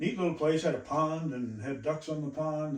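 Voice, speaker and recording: Fairly even intonation from a man with an American accent, audible room echo around him. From northeastern Iowa, US Midwest. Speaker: pastor. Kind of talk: testimony. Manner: halting, many fillers.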